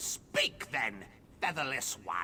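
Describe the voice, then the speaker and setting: A man uses a put-on character voice. Background noise is clearly heard. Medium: video game. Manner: imperious, squawking.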